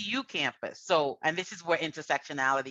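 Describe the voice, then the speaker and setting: A woman speaks at a moderate pace in a very deep, low pitch, with ordinary pitch variation and a bright, sharp tone. The sound is dry and close with no echo, over a quiet background. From Trinidad and Tobago. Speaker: university administrator. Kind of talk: panel discussion.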